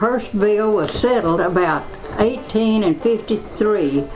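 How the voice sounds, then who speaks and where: Speaking fairly slowly with a Texan accent, a woman at medium pitch uses ordinary pitch variation over noticeable background noise. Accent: Texan Southern American. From Personville, Texas. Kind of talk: oral history account.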